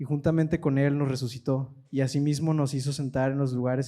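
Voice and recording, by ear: Someone is reading aloud in a natural voice. Their intonation stays fairly even.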